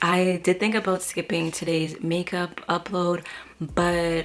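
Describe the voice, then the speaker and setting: Noticeable background noise sits behind a quiet woman's voice. Her pitch is fairly low and her intonation monotone and flat. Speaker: beauty vlogger. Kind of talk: makeup tutorial. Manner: casual, chatty.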